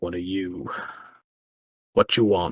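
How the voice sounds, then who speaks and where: A man puts on a character voice that is very deep and low. The sound is dry and close, with no echo. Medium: actual play. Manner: gruff, clipped, rough grammar.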